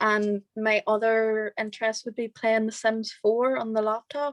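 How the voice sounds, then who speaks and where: Spoken at a fairly slow pace, the voice sounds dry and close, with no echo. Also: woman. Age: young. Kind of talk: interview answer. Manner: casual, hesitant.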